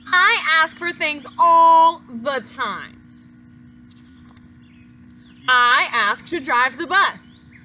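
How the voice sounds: Putting on a character voice, a woman speaks with high pitch, a bright, sharp tone and lively intonation. Her delivery is very slow, with long, frequent pauses.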